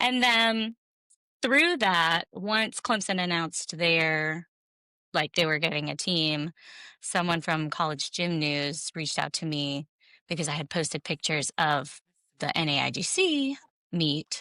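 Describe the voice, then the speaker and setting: On a very clean recording with a silent background, a woman with an American accent speaks at a fairly low pitch with lively intonation and a bright, sharp tone. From South Carolina. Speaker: sports multimedia creative. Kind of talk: casual chat. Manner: animated.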